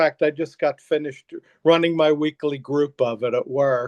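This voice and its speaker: Heard with a dry, close sound and no echo, a man with a plain, everyday voice speaks at a moderate pace, his pitch fairly high with ordinary variation. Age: 60s. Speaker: counselor and life coach. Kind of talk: interview.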